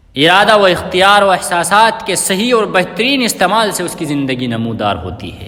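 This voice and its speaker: In a raised, projected voice with a high pitch, a man makes very wide pitch swings and big swings in loudness over noticeable background noise. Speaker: Islamic scholar giving a sermon. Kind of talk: Islamic sermon speech.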